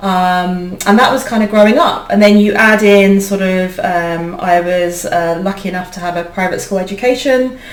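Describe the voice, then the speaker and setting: With a British accent, a woman talks at a moderate pace with hardly any pauses, amid noticeable background noise and audible room echo. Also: medium pitch for a woman, ordinary pitch variation. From UK, Indian heritage. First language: Indian language (not English). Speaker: leadership coach and founder. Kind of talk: interview conversation. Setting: video podcast recording. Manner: hesitant, many fillers.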